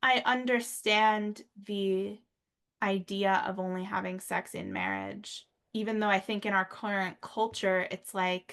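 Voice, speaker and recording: Over a quiet background, the speech runs at a fairly slow pace with monotone, flat intonation. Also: woman, medium pitch for a woman. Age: 30s. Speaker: podcast host. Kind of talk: casual chat.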